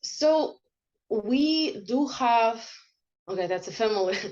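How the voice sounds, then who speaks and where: A woman speaks in a fairly high voice with ordinary pitch variation. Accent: Russian. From Russia, Krasnodar Krai. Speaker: interviewee. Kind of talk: interview. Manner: halting.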